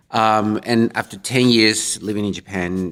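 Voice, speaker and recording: A man with a non-native accent speaks with ordinary pitch variation. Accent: non-native English speaker. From Colombia. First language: Spanish. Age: 40s. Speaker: minister and panelist. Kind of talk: panel discussion. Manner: halting.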